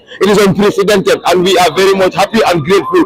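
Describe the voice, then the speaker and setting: A man speaks at a very fast pace in a high pitch with a stern tone and ordinary pitch variation. Noticeable background noise is present. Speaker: student union leader. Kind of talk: press statement. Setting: outdoors at a protest. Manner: stern-sounding.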